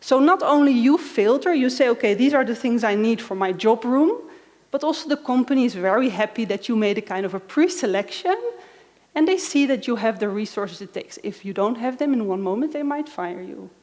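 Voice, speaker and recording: Her intonation lively, a woman with a Dutch accent speaks in a high pitch. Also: fairly quick pace. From Netherlands. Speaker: conference speaker. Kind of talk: conference talk.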